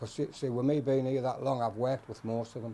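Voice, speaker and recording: The pace is moderate and the intonation fairly even. He is a man with a medium pitch. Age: 60s. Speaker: waste collector. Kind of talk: casual chat; documentary interview.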